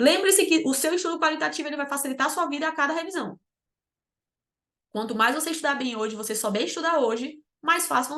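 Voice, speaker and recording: At a very fast pace, a woman with a high pitch speaks with lively intonation. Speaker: exam preparation mentor. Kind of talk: online lecture. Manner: animated.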